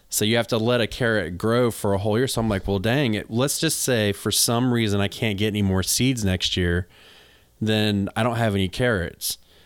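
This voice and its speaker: A man with an unremarkable speaking voice and an American accent, fairly low pitch, fairly even intonation, very even loudness, a moderate pace, and a very clean recording with a silent background. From North Carolina. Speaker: podcast host and gardener. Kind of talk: casual chat, podcast.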